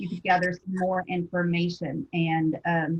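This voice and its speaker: A woman talks at a moderate pace in a somewhat breathy voice, fairly low in pitch. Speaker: school psychologist presenter. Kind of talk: professional webinar presentation.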